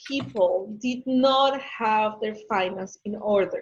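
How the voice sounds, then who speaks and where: A woman's voice with a Spanish accent and lively intonation. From Ecuador. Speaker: business consultant. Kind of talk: webinar Q&A.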